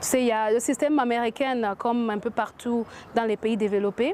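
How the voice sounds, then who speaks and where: Fairly high-pitched woman with an English accent, fairly even intonation and a moderate pace, over noticeable background noise. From US, Washington. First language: English (speaking French). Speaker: entrepreneur. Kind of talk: interview. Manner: halting, many hesitations.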